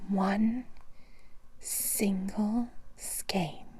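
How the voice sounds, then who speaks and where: Whispered speech comes through against noticeable background noise. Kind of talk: ASMR bedtime story reading. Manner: whispered, soft.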